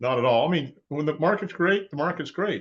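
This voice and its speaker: A man talks at a fairly quick pace in a fairly high pitch, with vocal fry and very wide pitch swings. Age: 70s. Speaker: financial advisor. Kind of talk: interview.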